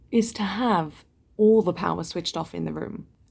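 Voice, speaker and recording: A woman speaks with vocal fry at a fairly quick pace. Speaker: vlogger. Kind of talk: casual vlog talk. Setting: hotel room.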